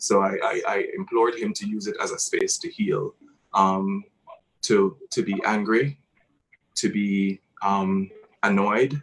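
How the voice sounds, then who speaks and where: A man with a Jamaican accent, at a very slow pace with long, frequent pauses. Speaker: theatre artist. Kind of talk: panel discussion.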